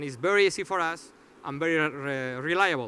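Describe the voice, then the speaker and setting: Bright and sharp in tone, a man speaks at a moderate pace with ordinary pitch variation. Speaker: startup founder presenting. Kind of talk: audience Q&A; conference presentation. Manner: halting, many fillers.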